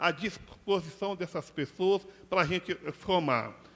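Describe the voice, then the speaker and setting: Speaking fairly slowly, a man uses a high-pitched voice. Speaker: NGO director. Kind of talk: panel talk. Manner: halting.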